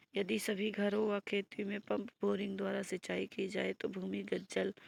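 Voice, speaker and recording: Very slow speech from a woman, recorded with a dry, close sound and no echo. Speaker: teacher. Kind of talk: tutorial. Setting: online video class.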